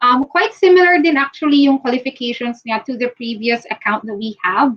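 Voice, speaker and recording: At a fairly quick pace, a woman with a Filipino accent speaks in a high pitch with lively intonation. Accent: Filipino English, Taglish code-switching. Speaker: recruiter. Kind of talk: live-stream recruitment talk. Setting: live video stream. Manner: fast.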